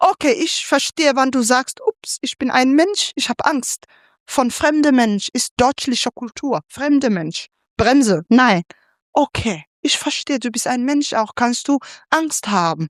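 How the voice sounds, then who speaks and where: In a dry, close recording with no echo, a woman speaks very slowly in a high voice. Her pitch swings very widely. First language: not German (speaking German). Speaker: panelist, migrant activist. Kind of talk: panel discussion. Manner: halting.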